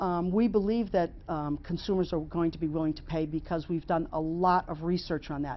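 A woman with a plain, everyday voice speaks at a moderate pace, her fairly low pitch paired with fairly even intonation. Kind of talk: interview answer. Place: studio. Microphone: lapel.

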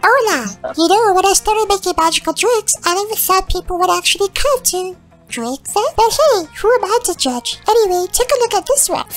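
The voice is extremely high and moves at a fairly quick pace. Faint music sits in the background. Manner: casual, breezy.

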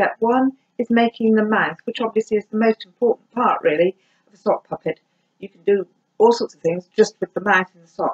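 In a quiet setting, a woman talks at a moderate speed. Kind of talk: tutorial. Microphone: camera far.

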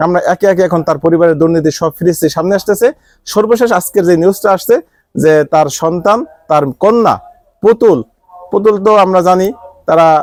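His voice sits at a high pitch for a man, with ordinary pitch variation and very even loudness. The sound is dry and close, with no echo. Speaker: political commentator. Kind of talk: live political commentary.

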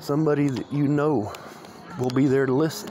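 With an American accent, a man speaks at a moderate pace and fairly even intonation, the sound dry with no echo and music playing in the background. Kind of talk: casual talk to camera while walking outdoors. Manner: rambling, stuttering, conversational. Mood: reflective, lonely, earnest. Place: open country. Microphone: phone near.

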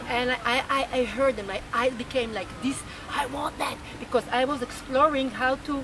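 Over light background noise, a woman speaks in a high pitch with an Israeli accent. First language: Hebrew. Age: 60s. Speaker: rebirthing teacher and activist. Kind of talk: interview. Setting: outdoors. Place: street.

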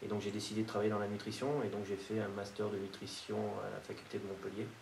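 The speaker talks at a fairly quick pace, with audible room echo and light background noise. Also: man. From France. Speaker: nutrition expert. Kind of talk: interview monologue. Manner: hesitant with repetitions. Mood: calm, reflective. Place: meeting room.

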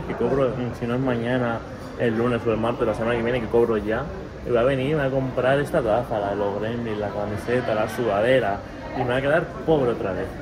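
A man at a fairly quick pace over clear background music. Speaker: vlogger. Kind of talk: casual vlog chat. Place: shop. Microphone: phone near.

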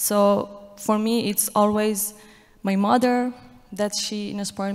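Her delivery is monotone and flat as this woman speaks at a fairly slow pace. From Iran, Afghan family. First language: Dari/Persian. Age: 20s. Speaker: athlete and activist; guest. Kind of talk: panel interview on stage. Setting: stage with audience. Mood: earnest, passionate. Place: stage. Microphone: handheld.

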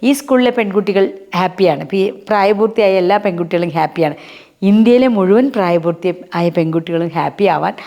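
Noticeable background noise runs under the recording. A woman speaks at a medium pitch with ordinary pitch variation. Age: 50s. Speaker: social worker. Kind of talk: interview.

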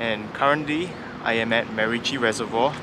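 Against noticeable background noise, a man talks at a moderate pace in a dry sound with no echo. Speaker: vlogger. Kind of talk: casual vlog chat. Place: waterside. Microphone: phone near.

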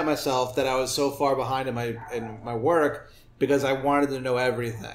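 Here is a man with an unremarkable speaking voice. His pitch is fairly high and his pace moderate. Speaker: comedian. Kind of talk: casual chat.

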